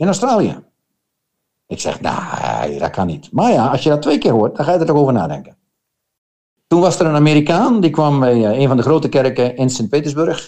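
A man with vocal fry and a dark, mellow tone speaks at a moderate pace, his fairly high pitch moving with lively intonation. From Netherlands. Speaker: missionary. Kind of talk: testimony. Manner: halting.

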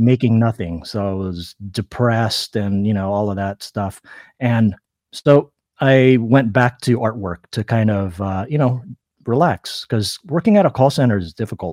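The speaker has an American accent and a moderate pace, with ordinary pitch variation in a dry, close sound with no echo. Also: man, medium pitch for a man. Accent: sounds American. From Philippines. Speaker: artist and calligrapher. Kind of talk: interview. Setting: remote live stream. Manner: halting, many fillers.

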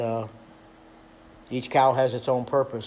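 With noticeable background noise behind him, a man talks at a moderate pace and a medium pitch. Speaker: pastor. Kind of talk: sermon. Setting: church.

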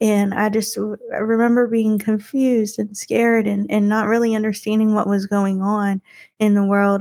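A woman's fairly high voice with a Texas accent, at a fairly slow pace. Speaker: podcast host, guest on another show.

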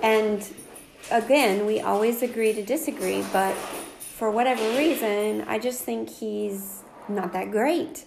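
A woman with an American accent speaks very slowly at a fairly high pitch. Her pitch varies in an ordinary way, and there is audible room echo. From North Carolina. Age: 40s. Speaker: podcast co-host. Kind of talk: casual chat.

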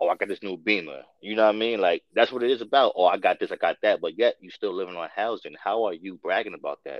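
Speaking very fast with hardly any pauses, a man with a New York accent swings widely in loudness. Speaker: guest co-host. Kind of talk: casual chat.

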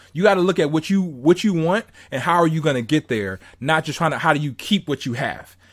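An ordinary speaking voice from a man with an American accent and fairly high pitch, at a fairly quick pace in a very clean recording with a silent background. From Southern California. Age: 30s. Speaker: motivational podcast host. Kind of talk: casual interview chat.

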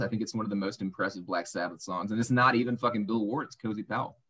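A man with an American accent speaks at a medium pitch in an unremarkable speaking voice. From US South, Arkansas. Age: 30s. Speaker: radio host and podcast co-host. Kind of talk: casual chat. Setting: video call.

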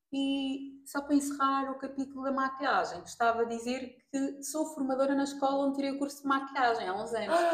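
The speaker talks fairly quickly in a European Portuguese accent, with hardly any pauses. The intonation stays fairly even. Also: woman, high pitch for a woman. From Portugal. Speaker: makeup artist. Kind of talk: casual interview. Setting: in person, face to face.

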